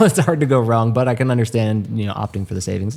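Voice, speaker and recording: A man's medium-pitched voice at a very fast pace, with ordinary pitch variation and music in the background. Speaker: e-bike podcast co-host. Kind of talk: casual chat.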